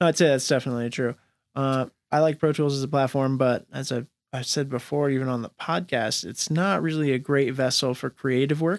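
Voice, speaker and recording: An ordinary speaking voice from a man, fairly high in pitch with fairly even intonation, in a very clean recording with a silent background and a dry, close sound with no echo. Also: fairly quick pace. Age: 30s. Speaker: hip-hop radio host. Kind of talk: casual interview.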